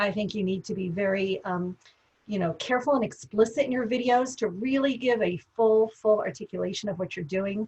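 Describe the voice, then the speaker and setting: A woman talks at a fairly quick pace in a fairly high, somewhat breathy voice. Her pitch varies an ordinary amount. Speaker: professor. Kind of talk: webinar discussion. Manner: fast.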